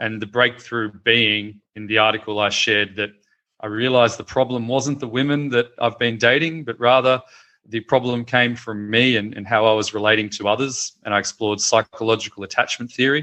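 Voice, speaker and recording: A man with an Australian accent talks at a fairly quick pace. His pitch is medium and his intonation fairly even. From Australia, Melbourne. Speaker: founder of a media website. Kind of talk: interview. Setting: video call.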